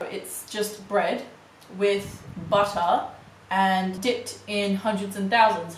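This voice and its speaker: A woman with an Australian accent speaks in an animated tone at a fairly high pitch, with audible room echo and noticeable background noise. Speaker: YouTuber. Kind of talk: product review vlog.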